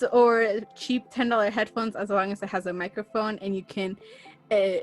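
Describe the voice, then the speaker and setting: With music in the background, a woman speaks in a fairly high pitch with an American accent, at a moderate pace and in a monotone, flat intonation. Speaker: podcaster. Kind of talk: interview. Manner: casual, filler words like and dude. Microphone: cheap USB microphone with headphones.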